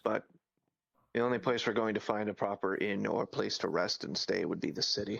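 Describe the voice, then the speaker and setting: A raspy, put-on character voice talks at a fairly quick pace. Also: man, fairly low pitch for a man. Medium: machinima. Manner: precise, explanatory.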